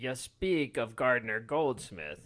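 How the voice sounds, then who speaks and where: A man's put-on character voice, gravelly, gruff and shrill, at a medium pitch. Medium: read story. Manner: gruff, barking.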